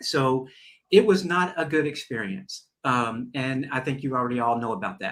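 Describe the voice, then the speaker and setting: With a Southern US accent, a man talks at a moderate pace using lively intonation. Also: medium pitch for a man. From US South. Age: 60s. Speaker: talk show host. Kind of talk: interview conversation. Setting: live stream.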